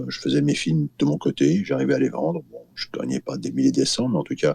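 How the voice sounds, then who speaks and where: A man's voice swings very widely in pitch. The sound is dry and close, with no echo. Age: 60s. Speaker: filmmaker. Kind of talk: interview. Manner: halting, many fillers and repetitions.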